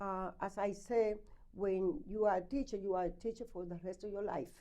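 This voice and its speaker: A woman with a strong Spanish accent talks at a moderate pace in a medium pitch, her tone dark and mellow and her pitch varying in an ordinary way. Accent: heavy Spanish. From Dominican Republic. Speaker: school committee member and candidate. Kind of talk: interview. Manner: halting.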